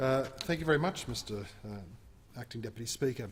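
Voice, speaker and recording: Speaking fairly quickly at a medium pitch, a man talks with an Australian accent. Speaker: member of parliament. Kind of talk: parliamentary speech.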